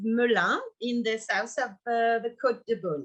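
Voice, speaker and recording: With a strong French accent, a woman speaks at a moderate pace and a fairly high pitch. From Burgundy, France. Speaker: winemaker. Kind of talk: presentation of her wine estate. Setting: online video session. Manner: hesitant.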